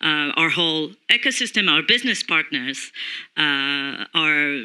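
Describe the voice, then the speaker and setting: A woman's very deep, low voice with a bright, sharp tone and a French accent. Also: quiet background. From France. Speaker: corporate communications executive; panelist. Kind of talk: panel discussion. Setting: stage with audience. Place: stage. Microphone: handheld.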